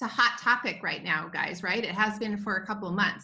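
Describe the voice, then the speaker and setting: Against a quiet background, a woman speaks in a bright, sharp tone with ordinary pitch variation. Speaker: presenter. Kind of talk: webinar talk. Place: home room. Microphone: video call.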